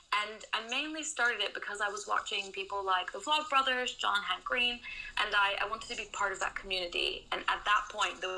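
Against noticeable background noise, a woman with a Dutch accent talks at a fairly quick pace and medium pitch, her intonation lively. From Netherlands. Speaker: booktuber and social media consultant. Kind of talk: interview.

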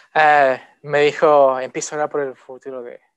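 Flat and monotone, a man delivers his words. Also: dry, close sound with no echo. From outside the country he now lives in. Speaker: lay preacher. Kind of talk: sermon. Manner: halting, many fillers.

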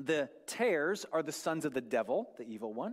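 Here is a plain, everyday voice speaking at a fairly slow pace. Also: man. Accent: American. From US Northwest, North Idaho. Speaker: guest preacher. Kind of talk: sermon. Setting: church.

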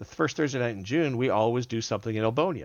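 This man has a normal speaking voice at a medium pitch, with lively intonation. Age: 50s. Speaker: wargaming event organizer. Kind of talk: casual chat.

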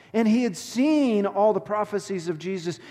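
A man with a Texan accent speaks at a high pitch in a dark, mellow tone. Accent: Texan (US Southern). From Texas. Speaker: pastor. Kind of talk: sermon. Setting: church.

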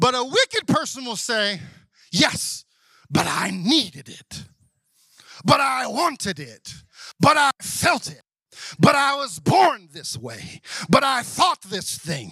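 A man speaks in a Southern US accent with a raised, projected, extremely high-pitched voice and a bright, sharp tone. His delivery is very slow, with long, frequent pauses, very wide pitch swings and big swings in loudness. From US South. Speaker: pastor. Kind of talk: Sunday morning church sermon, call-and-response with congregation. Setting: church service with congregation. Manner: conversational, asides and humor, coaxing amens from the crowd; building preacher cadence, rising intensity.

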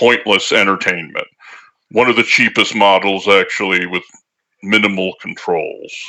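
The speaker is a man. He uses a put-on character voice. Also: quiet background. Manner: calm, polite, matter-of-fact.

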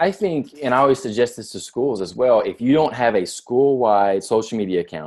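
A man with an American accent and an unremarkable speaking voice, ordinary pitch variation and a fairly quick pace on a very clean recording with a silent background. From US South, near Nashville, Tennessee. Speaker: podcast host, education consultant. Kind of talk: casual chat.

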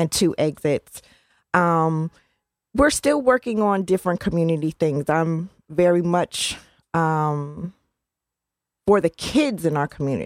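A woman's fairly low-pitched voice at a fairly slow pace, with long, frequent pauses and ordinary pitch variation. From US Northeast (New Haven, Connecticut). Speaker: community management team head. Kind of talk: radio interview. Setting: radio studio.

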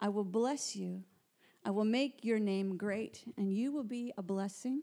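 A woman in a plain, everyday voice with ordinary pitch variation, at a fairly slow pace. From Canada. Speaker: church worker and Bible teacher. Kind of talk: Bible teaching talk. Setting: small room with audience, recorded.

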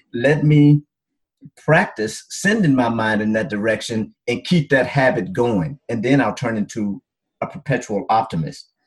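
A somewhat breathy man with a Mississippi accent, medium in pitch, lively in intonation and fairly slow. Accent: Southern US (Mississippi). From US South, Mississippi Delta. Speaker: doctor and men's coach. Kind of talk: podcast interview.

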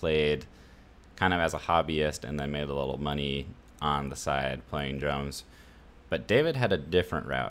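A man with an American accent speaks at a moderate pace. His very deep, low voice has vocal fry and fairly even intonation. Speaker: podcast host. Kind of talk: casual chat.

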